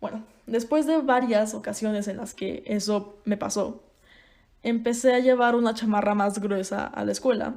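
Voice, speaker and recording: A woman with a Mexican accent, at a moderate pace and with fairly even intonation. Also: fairly high pitch for a woman. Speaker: podcaster. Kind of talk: casual monologue. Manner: conversational.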